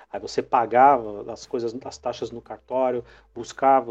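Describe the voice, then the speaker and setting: A man with a dark, mellow tone and medium pitch talks at a moderate pace. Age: 40s. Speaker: teacher, podcast host. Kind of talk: casual chat.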